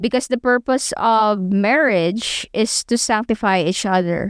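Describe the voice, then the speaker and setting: The speaker has a Filipino accent, and the recording is very clean with a silent background. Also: woman. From Philippines. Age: 20s. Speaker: podcast co-host. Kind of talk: religious teaching podcast. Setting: studio.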